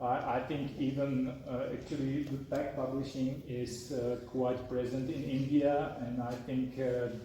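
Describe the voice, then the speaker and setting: A man with a non-native accent talks at a fairly slow pace and medium pitch, in a monotone, flat intonation. Noticeable background noise and audible room echo fill the recording. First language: not English. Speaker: software developer and author. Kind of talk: talk and Q&A at a meetup. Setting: meetup with live audience. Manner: halting, many fillers and repetitions.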